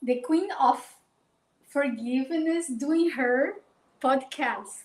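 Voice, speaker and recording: A woman's high voice with a Brazilian accent, very slow in pace, with ordinary pitch variation. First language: Portuguese. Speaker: life coach. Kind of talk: live stream talk. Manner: halting.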